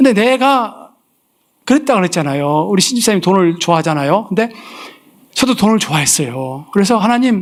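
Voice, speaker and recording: A fairly quick man's voice, high in pitch, with very wide pitch swings. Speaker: missionary preacher. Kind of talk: sermon with personal testimony. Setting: church service. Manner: animated, storytelling.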